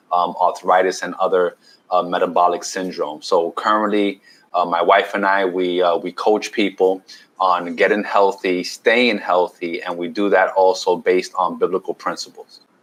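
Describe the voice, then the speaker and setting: At a moderate pace, a man speaks in a New York accent. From New York City, Washington Heights. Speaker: keto health coach and chef. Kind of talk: podcast interview.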